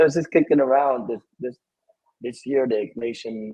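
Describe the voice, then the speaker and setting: The speaker moves at a fairly quick pace with a Vietnamese accent. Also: man. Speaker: Jesuit priest, spirituality director. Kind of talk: interview conversation.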